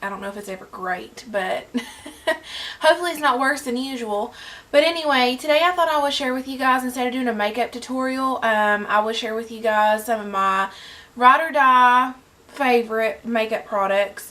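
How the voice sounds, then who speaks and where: With a Southern US accent, a woman speaks at a high pitch, her ordinary pitch variation paired with big swings in loudness. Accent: Southern US drawl. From Southern United States. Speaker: beauty vlogger. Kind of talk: casual talk to camera. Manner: chatty, enthusiastic.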